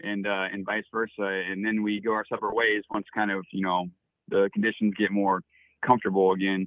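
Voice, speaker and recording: A man with an American accent speaks in a fairly low pitch with monotone, flat intonation. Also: fairly quick pace. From Florida. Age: 30s. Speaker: dog musher. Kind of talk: interview. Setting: phone call. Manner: frequent fillers (um, uh).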